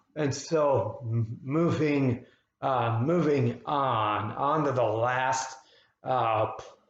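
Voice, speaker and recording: A man's medium-pitched voice, fairly even in intonation, with audible room echo. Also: very even loudness. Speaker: psychotherapist living with spasmodic dysphonia. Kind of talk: personal explainer video. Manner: halting, effortful.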